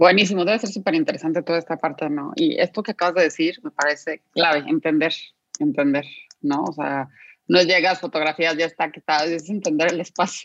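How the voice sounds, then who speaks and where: A woman's fairly low voice at a fairly quick pace, with ordinary pitch variation and a dry, close sound without echo. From Guadalajara, Mexico. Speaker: podcast co-host, designer and executive coach. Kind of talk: interview. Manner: animated.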